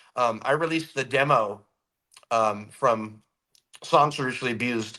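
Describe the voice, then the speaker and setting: A loud voice with a bright, sharp tone speaks in an American accent. It moves at a moderate pace with ordinary pitch variation. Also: man. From California. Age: 50s. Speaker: rock musician. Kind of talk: interview.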